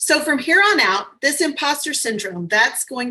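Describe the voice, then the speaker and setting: Her tone bright and sharp, the woman talks with an American accent. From US South, New Orleans. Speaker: motivational speaker. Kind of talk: virtual summit talk. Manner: fast; animated.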